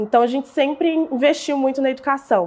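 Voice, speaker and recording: This woman has a plain, everyday voice, speaking at a moderate pace with ordinary pitch variation. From Brazil, southern Minas Gerais. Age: 20s. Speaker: digital entrepreneur. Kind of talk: interview storytelling.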